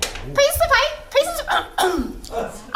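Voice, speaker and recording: Amid loud background noise, a put-on character voice squeaks at an extremely high pitch with very wide pitch swings. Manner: squawky, ridiculous.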